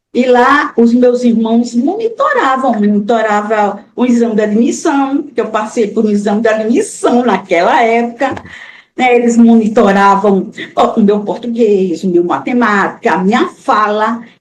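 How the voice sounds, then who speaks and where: A woman with a northeastern Brazilian accent, fairly high in pitch, at a fairly slow pace with very even loudness. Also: ordinary pitch variation. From Brazil, Alagoas (Maceió). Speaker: author, retired teacher. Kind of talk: interview.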